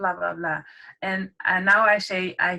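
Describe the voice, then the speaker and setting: A woman with a non-native accent speaks at a medium pitch in a bright, sharp tone. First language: not English. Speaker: online marketing group member. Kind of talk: casual group chat. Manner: halting, many fillers.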